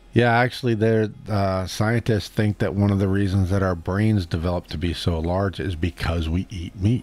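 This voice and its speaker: At a moderate pace and fairly low pitch, a man speaks with fairly even intonation and hardly any pauses. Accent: American. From Boston, US. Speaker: streamer. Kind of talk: live stream Q&A chat. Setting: live stream reading chat. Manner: casual, halting.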